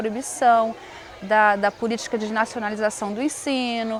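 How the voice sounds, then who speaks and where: A woman speaks fairly slowly in a Pomeranian accent. Her pitch is fairly high, and background noise is noticeable. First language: Pomeranian (speaking Portuguese). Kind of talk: interview testimony.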